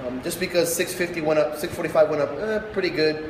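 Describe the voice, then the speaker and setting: Audible room echo and noticeable background noise surround a man speaking at a fairly high pitch with ordinary pitch variation. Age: 30s. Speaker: strongman athlete and gym owner. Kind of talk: casual vlog monologue. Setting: warehouse gym. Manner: loud.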